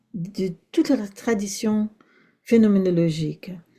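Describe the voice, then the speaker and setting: A woman with a fairly high pitch and a dark, mellow tone speaks somewhat breathily at a very slow pace. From Brazil. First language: Portuguese (speaking French). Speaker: philosophy professor. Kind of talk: academic lecture. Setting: seminar, in person and online. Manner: hesitant, with fillers and repetitions.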